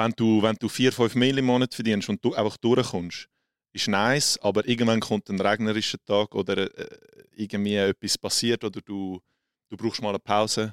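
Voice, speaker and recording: Recorded with a dry, close sound and no echo, a man with a Swiss accent talks in a monotone, flat intonation. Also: fairly low pitch for a man, moderate pace, very clean recording, silent background. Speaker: social media creator. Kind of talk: casual interview.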